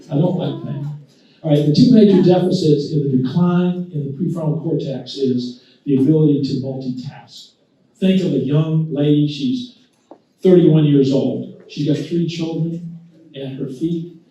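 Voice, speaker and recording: Speaking at a moderate pace, a man with a fairly high pitch, a dark, mellow tone and ordinary pitch variation sounds somewhat breathy, with audible room echo. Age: 70s. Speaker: physician speaker. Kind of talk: talk to a luncheon audience. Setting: luncheon audience. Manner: conversational, with many fillers.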